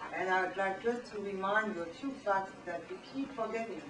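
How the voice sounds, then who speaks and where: Over noticeable background noise and audible room echo, a woman with a strong French accent speaks at a moderate pace and medium pitch. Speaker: professor. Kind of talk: lecture. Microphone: poor camera recording.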